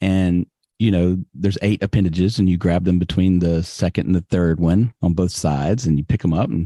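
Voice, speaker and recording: A man speaks in a Southern US accent at a fairly quick pace, his tone dark and mellow. The sound is dry and close with no echo, over a quiet background. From US South, Alabama (Birmingham). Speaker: podcast guest. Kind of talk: casual interview chat.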